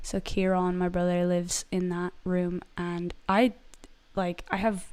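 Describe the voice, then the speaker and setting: A woman talks with an American accent. Her pitch sits in the medium range. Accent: American-sounding despite Irish origin. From Ireland. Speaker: singer-songwriter. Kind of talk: casual live stream chat. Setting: live stream at home. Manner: animated, chatty.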